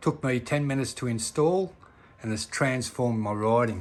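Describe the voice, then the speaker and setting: A man is speaking here. He has a normal speaking voice and keeps a moderate pace. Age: 60s. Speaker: motorcycle rider. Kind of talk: casual product recommendation to camera.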